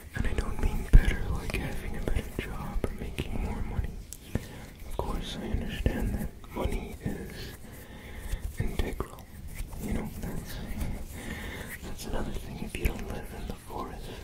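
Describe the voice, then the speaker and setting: Whispering in a gentle tone, with long, frequent pauses and noticeable background noise. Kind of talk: ASMR whispered ramble. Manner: whispered, soft-spoken; slow, gentle.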